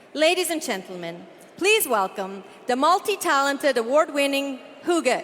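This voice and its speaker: The voice moves through very wide pitch swings at a moderate pace over noticeable background noise. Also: woman, high pitch for a woman. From Canada. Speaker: event hostess. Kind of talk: event hosting. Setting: stage with audience. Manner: animated.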